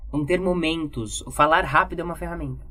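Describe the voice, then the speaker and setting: A woman's voice over music in the background. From Brazil. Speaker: communication and public speaking teacher. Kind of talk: podcast testimony conversation.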